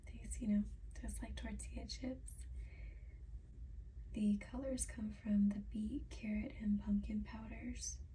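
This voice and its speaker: A soft-spoken woman talks at a very slow pace. She leaves long, frequent pauses. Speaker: ASMR creator. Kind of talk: ASMR product reading.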